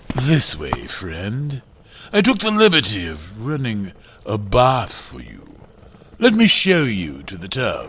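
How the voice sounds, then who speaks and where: A put-on character voice at a fairly slow pace. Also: man, medium pitch for a man. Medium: audio drama. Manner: smooth, courteous, faintly menacing.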